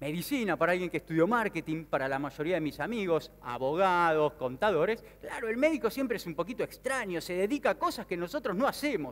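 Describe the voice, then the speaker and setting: With an Argentine accent, a man talks at a high pitch and a fairly quick pace, making very wide pitch swings with hardly any pauses. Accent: Rioplatense Argentine Spanish. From Argentina, Mar del Plata; Argentina. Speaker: sales speaker and business consultant; speaker. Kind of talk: motivational conference talk. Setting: stage with audience. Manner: animated. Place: stage. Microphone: headset.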